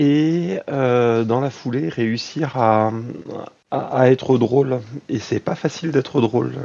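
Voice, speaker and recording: Talking at a very slow pace, the man has a medium pitch and ordinary pitch variation. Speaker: tabletop role-playing gamer. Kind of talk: casual chat.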